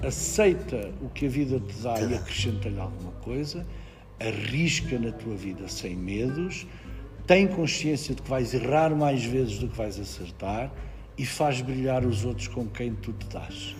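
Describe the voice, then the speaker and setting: Music plays in the background. The voice moves at a fairly slow pace with very wide pitch swings. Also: man, medium pitch for a man. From Portugal, Ribatejo. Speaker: actor. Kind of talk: interview answer.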